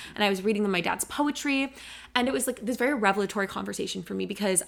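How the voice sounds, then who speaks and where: A woman with an American accent at a medium pitch and a very fast pace, amid noticeable background noise. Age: 20s. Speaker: podcast co-host. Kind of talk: casual chat.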